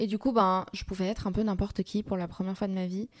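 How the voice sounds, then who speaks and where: Against a silent background in a very clean recording, a woman talks at a fairly quick pace in a flat, monotone delivery. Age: 20s. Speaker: student activist. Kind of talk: interview testimony. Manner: hesitant, many fillers.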